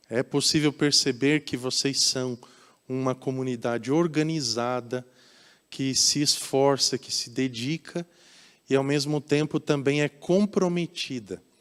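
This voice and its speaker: Speaking at a fairly slow pace with a Curitiba accent, a man with a fairly high pitch shows ordinary pitch variation in a dry, close sound with no echo, on a very clean recording with a silent background. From Brazil, Curitiba. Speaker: pastor. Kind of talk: sermon. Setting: church.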